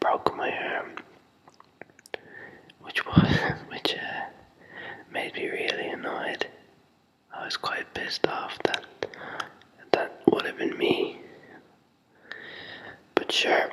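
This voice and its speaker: The speaker whispers at a very slow pace, with long, frequent pauses. Noticeable background noise runs underneath. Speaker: music technology university student. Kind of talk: casual whispered talk to camera. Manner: whispered.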